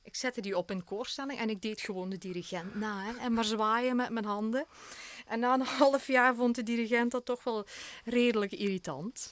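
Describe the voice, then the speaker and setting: With a Belgian Limburg accent, a woman talks at a moderate pace in a fairly high pitch with ordinary pitch variation. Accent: Belgian Limburg Flemish. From Belgian Limburg, Hasselt. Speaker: opera singer. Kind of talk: radio interview. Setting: radio studio.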